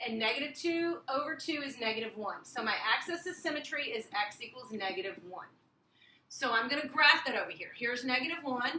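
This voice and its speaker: A woman uses a raised, projected voice, high in pitch with a bright, sharp tone and lively intonation. Audible room echo and light background noise come through. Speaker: math teacher. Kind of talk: tutorial. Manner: fast. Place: classroom. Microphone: camera far.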